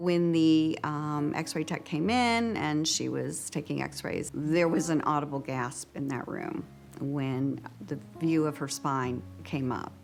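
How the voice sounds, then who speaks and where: Delivery is rather slow, and the pitch varies by a normal amount. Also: woman. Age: 60s. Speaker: patient. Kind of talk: testimony.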